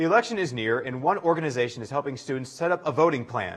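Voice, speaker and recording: Speaking very fast with lively intonation, a man uses a fairly high pitch and an American accent. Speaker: university campus news anchor. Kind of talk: news anchor read.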